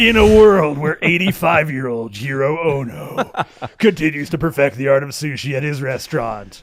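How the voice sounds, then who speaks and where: Using a put-on character voice, a man talks at a moderate pace with fairly high pitch. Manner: dramatic trailer announcer delivery.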